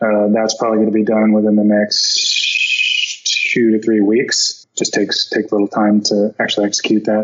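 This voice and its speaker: With an American accent, a man speaks at a moderate pace with very even loudness and hardly any pauses. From Florida. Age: 40s. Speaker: product designer and entrepreneur. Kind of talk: interview.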